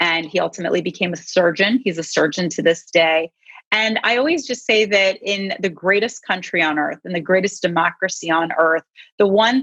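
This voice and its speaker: A woman with an American accent uses an ordinary speaking voice of medium pitch. She keeps a moderate pace with ordinary pitch variation. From US, raised in America; born in Iran. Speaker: congressional candidate, lawyer. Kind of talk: campaign speech at virtual panel. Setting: virtual event, video call.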